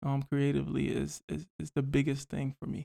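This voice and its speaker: Fairly quick speech from a man with an American accent, fairly high in pitch, in a dark, mellow tone, with a dry, close sound with no echo and a very clean recording over a silent background. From Northern Virginia, US (Alexandria). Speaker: music artist. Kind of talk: casual interview.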